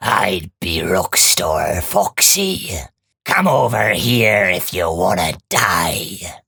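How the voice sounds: A man's put-on character voice, raspy and menacing, very deep and low in pitch, at a very slow pace.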